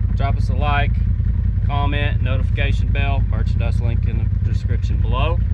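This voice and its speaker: Loud background noise runs behind a man talking at a fairly quick pace. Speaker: off-road vlogger. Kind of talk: casual vlog chat. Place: car. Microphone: phone near.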